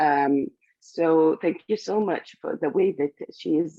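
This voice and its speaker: Very slowly, a woman speaks at a very deep, low pitch with ordinary pitch variation. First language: not English. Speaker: class participant. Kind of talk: class feedback. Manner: halting, many fillers.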